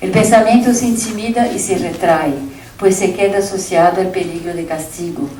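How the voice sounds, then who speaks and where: With a Brazilian accent, a woman speaks at a medium pitch and moderate pace with ordinary pitch variation. Room echo is audible, and background noise is noticeable. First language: Portuguese (speaking Spanish). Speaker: keynote lecturer, academic. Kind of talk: reading a lecture aloud. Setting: conference with audience. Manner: formal.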